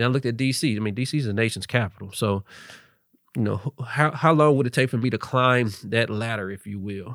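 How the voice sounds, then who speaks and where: With a normal speaking voice, a man talks at a medium pitch and fairly quick pace, with ordinary pitch variation. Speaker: entrepreneur, workforce training founder. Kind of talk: casual interview chat. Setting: studio.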